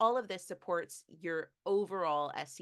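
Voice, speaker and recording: Her pitch moves in an ordinary way. The speaker is a woman. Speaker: SEO expert presenting a webinar. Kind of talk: webinar presentation. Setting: video call. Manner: fast.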